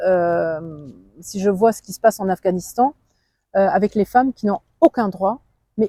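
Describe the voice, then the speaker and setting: In a Luxembourgish accent, a woman speaks with a dark, mellow tone at medium pitch and lively intonation. The sound is dry and close, with no echo. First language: Luxembourgish (speaking French). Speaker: politician. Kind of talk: interview. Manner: halting.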